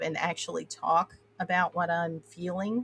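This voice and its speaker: In a dry, close recording with no echo, a woman with an American accent speaks at a moderate pace in a flat monotone. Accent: Appalachian twang, comes out when tired. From Appalachia, US. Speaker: podcast host. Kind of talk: casual interview chat. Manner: halting, many fillers.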